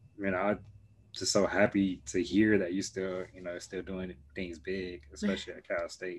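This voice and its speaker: Over a quiet background, a man speaks in an ordinary speaking voice with an American accent. He keeps a moderate pace, a fairly low pitch and fairly even intonation. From Chicago. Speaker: podcast host, engineer. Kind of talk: casual interview.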